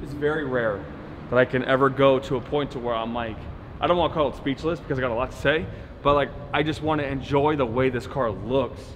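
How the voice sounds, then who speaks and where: Light background noise sits behind a man talking at a very fast pace with fairly even intonation. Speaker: car rental business owner vlogger. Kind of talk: casual vlog chat. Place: garage. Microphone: camera far.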